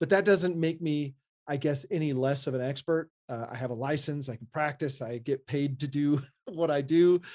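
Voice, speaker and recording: A man uses a normal speaking voice with a fairly high pitch, ordinary pitch variation and a moderate pace. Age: 40s. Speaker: architect and maker podcast co-host. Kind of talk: casual chat.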